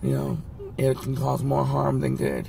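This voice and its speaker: Noticeable background noise sits under the man's fairly quick speech. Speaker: health vlogger. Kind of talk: casual vlog monologue. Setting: in a car.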